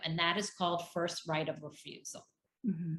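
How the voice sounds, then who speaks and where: A woman speaks with an unremarkable speaking voice. Her pitch variation is ordinary. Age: 50s. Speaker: divorce coach. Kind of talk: interview.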